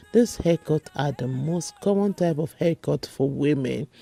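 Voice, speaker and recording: A woman talks at a moderate pace in a very deep, low pitch, her intonation lively. The sound is dry and close with no echo, with music in the background. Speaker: beauty vlogger. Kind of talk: product review vlog.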